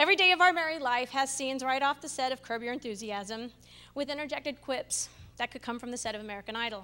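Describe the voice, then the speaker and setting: Talking at a very fast pace, a woman uses a raised, projected, high-pitched voice with ordinary pitch variation and big swings in loudness. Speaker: stand-up comedian. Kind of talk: stand-up comedy. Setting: stage with audience. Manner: animated. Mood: wry, humorous storytelling. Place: hall. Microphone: handheld.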